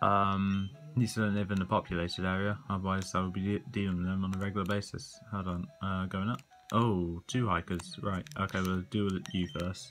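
The speech moves at a moderate pace with fairly even intonation. Faint music plays in the background. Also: man. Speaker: gamer. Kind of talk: game commentary. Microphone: phone near.

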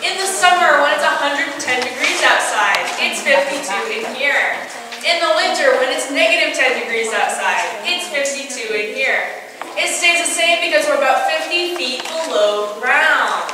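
A woman projects a raised voice at a moderate pace. Strong room echo and noticeable background noise fill the recording. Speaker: cave tour guide. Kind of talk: guided tour talk. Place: tunnel cave.

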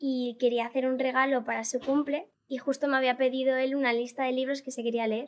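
The speech moves at a moderate pace in a monotone, flat intonation. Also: woman. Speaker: viral content creator; podcast guest. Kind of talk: interview. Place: studio. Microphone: studio mic.

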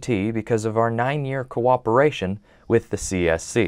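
Over a quiet background, a man with an American accent speaks in an ordinary speaking voice. His pitch is medium with ordinary variation, and his pace is moderate. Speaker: TV news reporter and anchor. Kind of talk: recorded news package voiceover. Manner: measured, serious hard-news narration.

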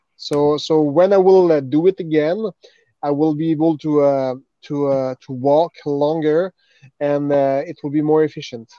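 A man with a Quebec French accent speaks at a fairly slow pace and a fairly high pitch, with a dark, mellow tone and fairly even intonation. The background is quiet and the sound dry with no echo. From Montreal, Quebec. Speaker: retired MMA fighter; podcast guest. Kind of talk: casual chat. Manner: halting. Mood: earnest, reflective. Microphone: video call.

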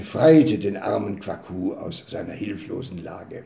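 Against audible room echo, a man speaks at a fairly slow pace. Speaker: storyteller. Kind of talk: storytelling reading. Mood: calm, warm narration. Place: home room. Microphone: webcam.

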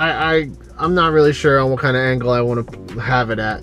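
A man talks with ordinary pitch variation. The sound is dry with no echo, and faint music plays in the background. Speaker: delivery driver vlogger. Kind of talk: casual vlog chat. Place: car. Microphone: phone near.

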